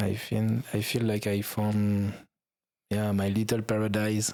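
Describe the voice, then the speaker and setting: With a French accent, a man speaks in a dark, mellow tone with monotone, flat intonation and very even loudness, taking long, frequent pauses in a very clean recording with a silent background. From France. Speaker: YouTube travel creator. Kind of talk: podcast interview. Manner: halting.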